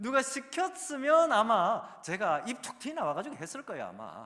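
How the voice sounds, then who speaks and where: With a Gyeongsang accent, a man uses a raised, projected voice at an extremely high pitch, with very wide pitch swings, big swings in loudness and a moderate pace. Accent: Gyeongsang dialect intonation. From South Korea, Daegu (Gyeongsang). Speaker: pastor and seminary professor. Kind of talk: sermon. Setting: church service with congregation. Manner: conversational, engages audience.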